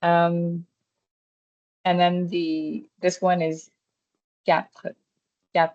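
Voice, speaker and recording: This woman has a fairly low-pitched voice. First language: not French. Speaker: French workshop leader. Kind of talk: online language workshop. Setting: online workshop.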